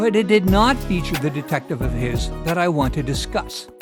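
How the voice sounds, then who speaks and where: A man talks at a moderate pace. There is music behind him. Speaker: YouTube host and narrator. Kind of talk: documentary narration.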